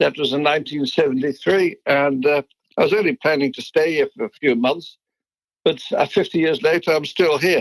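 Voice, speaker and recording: The pace is moderate, with ordinary pitch variation. The sound is dry and close, with no echo. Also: man, fairly high pitch for a man. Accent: Dutch. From Netherlands. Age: 70s. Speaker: business founder. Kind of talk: interview.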